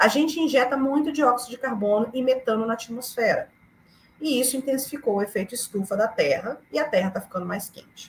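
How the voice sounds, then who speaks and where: A woman's high-pitched voice at a fairly quick pace, with ordinary pitch variation, big swings in loudness and noticeable background noise. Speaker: climate activist. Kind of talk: lecture. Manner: fast; animated.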